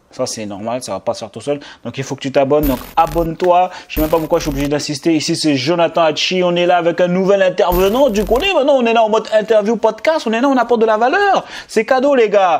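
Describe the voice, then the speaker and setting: Over noticeable background noise, a man with a high voice talks very fast in an animated tone, his pitch swinging very widely. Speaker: youtuber and podcast host. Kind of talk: interview podcast.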